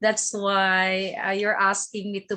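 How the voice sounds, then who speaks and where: A woman is speaking. Her pace is fairly slow. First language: non-English native tongue. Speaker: online poetry show host. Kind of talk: interview.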